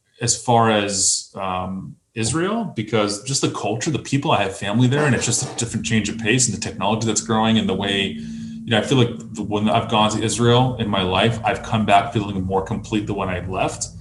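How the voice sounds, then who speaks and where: With music in the background, a man talks at a fairly quick pace with hardly any pauses. His pitch is fairly low, with ordinary pitch variation. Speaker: video producer. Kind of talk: casual chat. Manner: fast.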